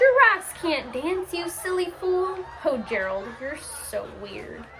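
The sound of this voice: A woman puts on a character voice, extremely high with a bright, sharp tone, moving slowly through big pitch swings over faint background noise.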